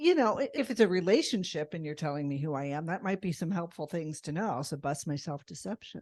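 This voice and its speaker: A woman's ordinary speaking voice, fairly low-pitched, with lively intonation, a fairly quick pace and hardly any pauses, over a quiet background. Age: 60s. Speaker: podcast host and facilitator. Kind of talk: podcast conversation. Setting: live podcast recording with audience.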